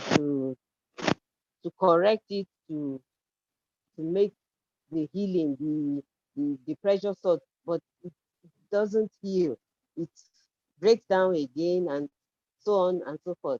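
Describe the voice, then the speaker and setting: Dry and close with no echo, a woman's fairly low, dark, mellow voice moves at a very slow pace with long, frequent pauses, big swings in loudness and ordinary pitch variation. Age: 50s. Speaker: spina bifida advocate sharing life story. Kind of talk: testimony. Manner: halting, many fillers and restarts.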